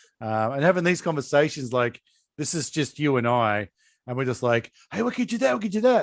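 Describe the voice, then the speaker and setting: Against a quiet background, a man with an Australian accent talks fairly quickly at medium pitch with lively intonation. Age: 40s. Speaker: podcast host. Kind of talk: casual chat.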